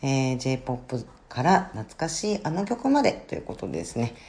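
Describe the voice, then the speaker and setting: A woman's very deep, low voice with very wide pitch swings at a very slow pace. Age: 50s. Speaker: podcaster, office worker and counselor. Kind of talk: casual podcast monologue. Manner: hesitant with many fillers.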